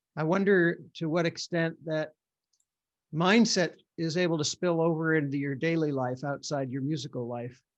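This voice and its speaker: Over a quiet background, a man with an ordinary speaking voice talks at a moderate pace and a fairly high pitch. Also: ordinary pitch variation. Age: 60s. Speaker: neuroscientist and author. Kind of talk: interview conversation. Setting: video call.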